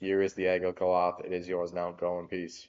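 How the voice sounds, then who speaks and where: A man puts on a rumbling character voice, very deep and low, at a fairly quick pace. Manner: solemn, dismissive.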